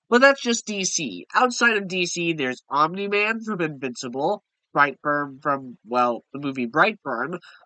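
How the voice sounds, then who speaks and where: The voice has a bright, sharp tone and very wide pitch swings, moving at a moderate pace. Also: man, high pitch for a man, dry, close sound with no echo. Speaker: YouTuber discussing comics. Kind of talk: casual video commentary.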